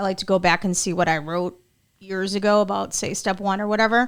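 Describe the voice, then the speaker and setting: A woman has an unremarkable speaking voice at a medium pitch with fairly even intonation, recorded very cleanly against a silent background. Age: 40s. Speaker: podcast host. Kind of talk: casual interview.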